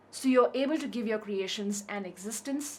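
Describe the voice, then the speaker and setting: At a moderate speed, the speech comes out somewhat breathy. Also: woman. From India, Kerala. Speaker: artist. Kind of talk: reflective narration.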